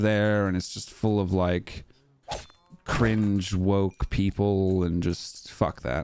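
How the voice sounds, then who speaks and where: Over noticeable background noise, a man talks at a very slow pace with an American accent. His pitch is fairly low and his intonation fairly even. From US West Coast and London. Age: 20s. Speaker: gaming streamer. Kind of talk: casual live-stream chat. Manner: casual, chatty.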